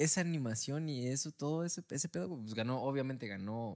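Speaking at a moderate pace with lively intonation, a man has an ordinary speaking voice. The very clean recording has a silent background and a dry, close sound with no echo. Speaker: podcast co-host. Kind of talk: casual chat.

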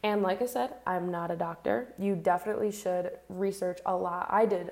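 This woman has a normal speaking voice at a medium pitch. Her pitch varies in an ordinary way. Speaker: podcast host. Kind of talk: solo podcast monologue. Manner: casual, conversational.

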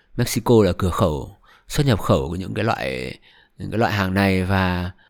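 With a very clean recording and a silent background, a man speaks in an ordinary speaking voice. His pitch is fairly low, and his intonation is lively. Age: 20s. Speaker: podcast host. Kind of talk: solo podcast monologue. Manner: casual, conversational.

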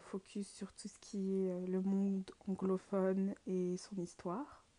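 A woman's medium-pitched voice, dark and mellow in tone, monotone and flat, at a very slow pace. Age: 20s. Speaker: student podcaster. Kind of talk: casual monologue. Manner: hesitant, many fillers.

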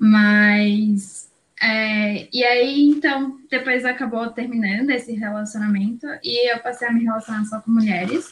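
With a fairly high pitch and fairly even intonation, a woman speaks at a fairly slow pace with hardly any pauses. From Brazil, São Paulo. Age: 20s. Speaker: law student. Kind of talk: casual chat.

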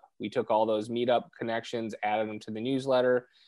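Delivered at a fairly quick pace, this is an ordinary speaking voice against a quiet background. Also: man. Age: 30s. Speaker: real estate investor. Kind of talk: podcast interview.

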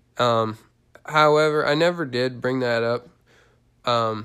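At a fairly slow pace, a man with a medium pitch and a bright, sharp tone speaks with fairly even intonation on a very clean recording with a silent background. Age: 20s. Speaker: personal trainer. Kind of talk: solo podcast monologue. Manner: halting, many fillers.

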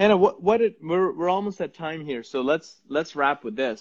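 This man has an animated tone and lively intonation. His pace is fairly slow. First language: Punjabi. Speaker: app company host interviewing a guest. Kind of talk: casual interview on Instagram Live. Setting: Instagram Live video stream. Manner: animated, laughing often.

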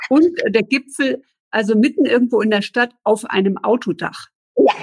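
A woman speaks in a somewhat breathy voice. The sound is dry and close with no echo. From northern Germany (Eckernförde, Baltic coast). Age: 40s. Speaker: podcast host. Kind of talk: interview. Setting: video live stream.

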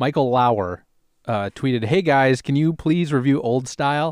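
With a plain, everyday voice, a man of medium pitch speaks at a moderate pace and lively intonation, in a dry, close sound with no echo. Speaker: podcast host. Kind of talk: casual chat over beers.

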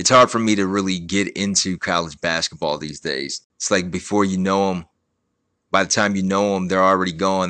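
Speaking with a very deep, low pitch, a man keeps a moderate pace. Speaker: podcast host. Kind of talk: casual monologue.

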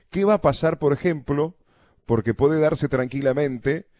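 A man's dark, mellow voice at a fairly quick pace, with ordinary pitch variation and a dry, close sound with no echo. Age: 30s. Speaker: radio host. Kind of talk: radio interview. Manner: halting.

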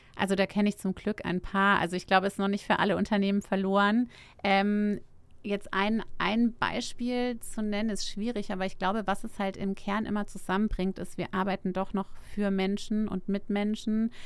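Her intonation flat and monotone, a woman talks at a medium speed. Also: medium pitch for a woman, very clean recording, silent background. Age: 40s. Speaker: startup founder. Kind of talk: interview. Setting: studio.

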